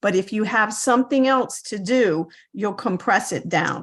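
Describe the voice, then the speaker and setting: With a quiet background, a woman has an ordinary speaking voice, medium in pitch with ordinary pitch variation. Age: 60s. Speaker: reseller on a mentorship call. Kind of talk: casual chat.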